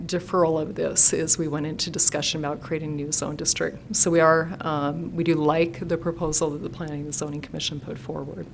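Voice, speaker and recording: Amid audible room echo, a woman with a very deep, low pitch speaks with fairly even intonation and hardly any pauses. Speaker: engineering consultant representing an applicant. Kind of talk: public hearing presentation. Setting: city council meeting chamber. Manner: hesitant, many fillers.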